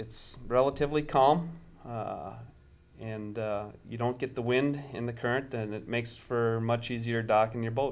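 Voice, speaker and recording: At a moderate pace, a man with an Upper Midwest US accent talks at a medium pitch. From Minnesota, Stillwater. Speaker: marina owner. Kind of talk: interview answers. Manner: hesitant, many fillers.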